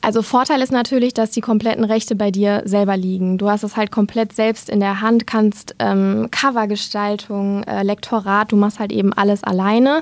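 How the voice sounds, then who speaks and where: An ordinary speaking voice moves at a moderate pace with hardly any pauses. The intonation stays fairly even. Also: woman, medium pitch for a woman. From Germany, Lower Rhine (Dinslaken). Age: 20s. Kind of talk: interview.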